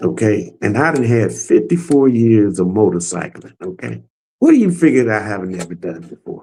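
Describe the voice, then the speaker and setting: A man talks at a moderate pace in a fairly low, dark, mellow voice with vocal fry. His pitch swings are very wide, with big swings in loudness. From Arkansas (Little Rock). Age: 70s. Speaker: motorcycle club co-founder. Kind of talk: casual interview chat.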